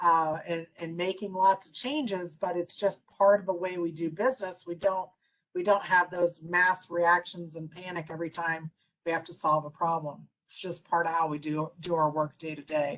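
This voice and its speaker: A woman with a plain, everyday voice speaks at a moderate pace, fairly low in pitch. Her intonation stays fairly even while her loudness swings widely. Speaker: business consultant and speaker. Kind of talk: presentation.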